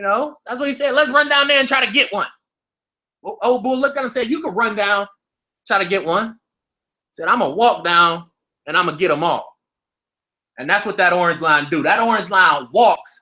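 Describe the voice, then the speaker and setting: A man's raised, projected voice with a bright, sharp tone and very wide pitch swings, at a moderate pace with long, frequent pauses, in a very clean recording with a silent background. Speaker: crypto trading youtuber. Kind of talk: live stream market commentary. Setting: live stream at computer. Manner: animated.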